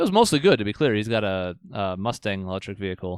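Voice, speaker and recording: In a dry, close sound with no echo, a man talks at a fairly quick pace in an unremarkable speaking voice with ordinary pitch variation. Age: 30s. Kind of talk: casual chat. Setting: home studio, streamed live on YouTube.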